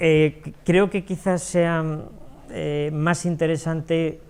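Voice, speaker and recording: The pace is very slow. The speaker is a man. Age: 60s. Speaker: small business owner. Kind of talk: talk to an audience. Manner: halting, many fillers and repetitions.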